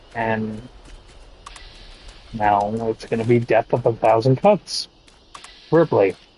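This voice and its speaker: A man speaks at a very slow pace with long, frequent pauses, his medium pitch and fairly even intonation set in a dry, close sound with no echo and noticeable background noise. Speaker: video game streamer. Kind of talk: casual chat. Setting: live stream.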